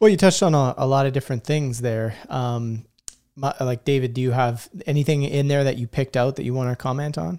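Moving at a fairly quick pace, a man speaks at medium pitch with a dark, mellow tone and ordinary pitch variation. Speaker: podcast host. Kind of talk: casual interview chat.

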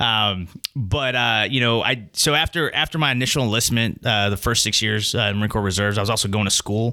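A man with an American accent talks at a fairly quick pace in a fairly low voice with a bright, sharp tone, ordinary pitch variation, very even loudness and hardly any pauses. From Texas. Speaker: security executive, former Marine. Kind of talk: casual podcast interview.

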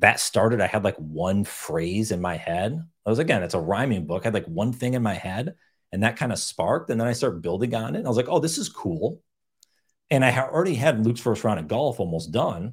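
On a very clean recording with a silent background, a man with a normal speaking voice and a fairly low pitch talks at a fairly quick pace. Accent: American. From upstate New York. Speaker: author and podcaster. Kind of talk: interview.

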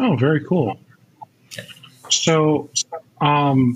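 A man talks at a very slow pace. His voice is somewhat breathy. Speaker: podcast host. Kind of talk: casual interview. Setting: video call. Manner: relaxed, jokey.

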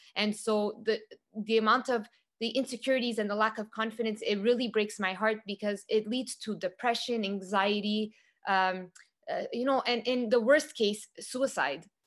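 At a moderate pace, a woman speaks in a plain, everyday voice, fairly high in pitch with fairly even intonation. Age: 40s. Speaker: youth empowerment facilitator. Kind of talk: casual interview.

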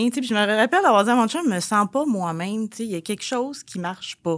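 In a Quebec accent, the speaker moves at a fairly quick pace with lively intonation. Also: woman. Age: 30s. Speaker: pharmacy technical assistant and bodybuilding competitor. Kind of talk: testimony.

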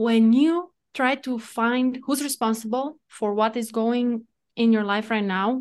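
There is a quiet background behind this woman. She has a Romanian accent and ordinary pitch variation. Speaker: entrepreneur and coach. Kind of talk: interview. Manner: excitable.

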